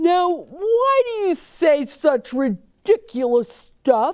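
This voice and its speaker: A put-on character voice, high-pitched, gruff and growling, drags at a very slow pace with very wide pitch swings. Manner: gruff, scolding.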